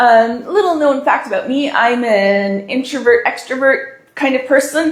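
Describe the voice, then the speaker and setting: A woman's high-pitched, fairly slow speech with lively intonation amid noticeable background noise. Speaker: balloon decorating instructor. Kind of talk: tutorial. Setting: live stream.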